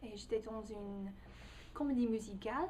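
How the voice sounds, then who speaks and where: A woman with an American accent speaks in a fairly high pitch, her voice somewhat breathy. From United States. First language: English (speaking French). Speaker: language learner, English tutor. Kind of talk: personal video testimony. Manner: halting, many hesitations.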